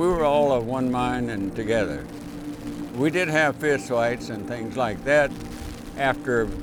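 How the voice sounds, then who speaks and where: With an American accent, a man talks at a fairly slow pace over music in the background, with audible room echo. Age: 90s. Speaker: war veteran. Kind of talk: interview. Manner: halting.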